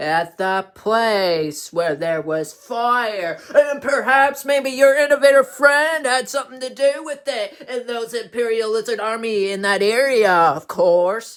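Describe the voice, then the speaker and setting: Using a put-on character voice, a man speaks fairly slowly with lively intonation. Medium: read story. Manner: chatty, repeats "of course".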